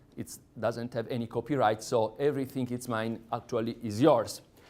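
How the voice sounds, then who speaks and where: Fairly even intonation, a moderate pace, and an Italian accent. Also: man. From Sardinia, Italy. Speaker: lecturer. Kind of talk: lecture.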